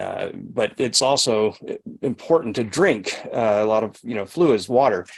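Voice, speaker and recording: He speaks in a plain, everyday voice. This man's pitch sits at a medium level. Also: ordinary pitch variation. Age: 60s. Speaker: sauna detox practitioner and trainer. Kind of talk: live Q&A over video call. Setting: video call. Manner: conversational with frequent fillers and restarts.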